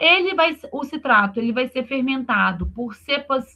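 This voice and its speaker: In a raised, projected voice, a woman speaks at a high pitch with lively intonation. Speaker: university lecturer. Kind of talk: online lecture.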